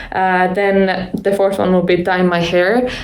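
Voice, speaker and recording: A woman with an Estonian accent, medium in pitch and fairly even in intonation, at a fairly slow pace amid noticeable background noise and audible room echo. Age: 20s. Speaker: YouTuber. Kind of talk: vlog monologue. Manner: casual, filler-heavy.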